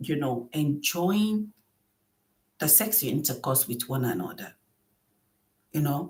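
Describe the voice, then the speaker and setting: A woman speaks in a somewhat breathy voice. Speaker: relationship and marriage vlogger. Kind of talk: advice monologue.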